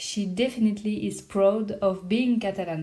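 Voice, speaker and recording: A woman speaks with a French accent at a fairly slow pace, her pitch medium with ordinary variation. Her tone is dark and mellow. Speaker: podcast host. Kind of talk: scripted narration.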